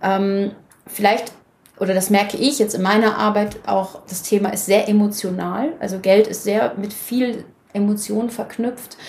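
Amid noticeable background noise, a woman at medium pitch speaks at a fairly slow pace with fairly even intonation. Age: 30s. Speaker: financial coach, former banker. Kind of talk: interview.

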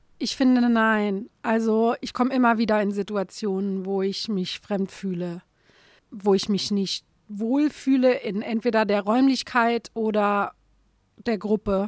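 In an ordinary speaking voice, a woman with fairly high pitch talks at a fairly slow pace with fairly even intonation, the sound dry and close with no echo. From Saarland, Germany. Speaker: comic artist. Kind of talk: interview conversation.

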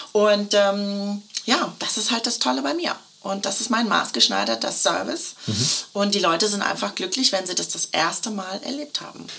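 A woman's medium-pitched voice at a moderate pace, with lively intonation and noticeable background noise. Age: 50s. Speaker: custom shirt consultant. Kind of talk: casual interview chat. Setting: in person, same room as host. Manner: cheerful, laughing.

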